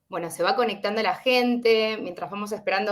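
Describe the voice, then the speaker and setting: Speaking with an Argentine accent, a woman uses a fairly high voice. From Argentina. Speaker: webinar host. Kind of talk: online webinar introduction. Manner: hesitant, many fillers.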